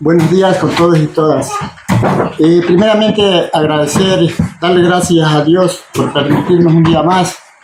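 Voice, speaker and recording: Noticeable background noise and audible room echo surround the recording. A man speaks at a high pitch with fairly even intonation. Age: 60s. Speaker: farmer. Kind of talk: casual talk to students.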